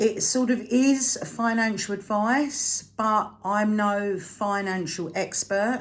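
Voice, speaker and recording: A somewhat breathy woman's voice with a British accent, fairly high in pitch, with ordinary pitch variation, a very slow pace and hardly any pauses. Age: 60s. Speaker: frugal living vlogger. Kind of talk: casual vlog talk to camera. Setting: home, at a table, evening. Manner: conversational with frequent fillers.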